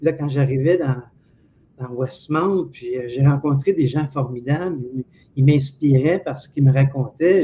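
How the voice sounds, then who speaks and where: Speaking at a fairly slow pace, a man with a fairly high, somewhat breathy voice keeps his intonation fairly even while his loudness swings widely. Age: 60s. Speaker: former telephone technician. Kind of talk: interview.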